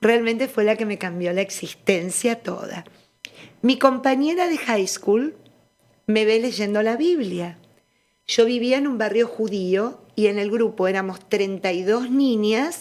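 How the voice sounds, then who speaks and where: A woman with an unremarkable speaking voice, fairly high in pitch, at a fairly slow pace with ordinary pitch variation. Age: 60s. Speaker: religious studies scholar. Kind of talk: interview testimony.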